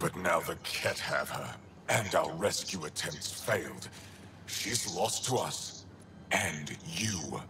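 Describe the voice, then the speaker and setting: A man uses a put-on character voice with a very deep, low pitch. He talks at a fairly slow pace over clear background noise. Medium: video game. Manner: curt, cold.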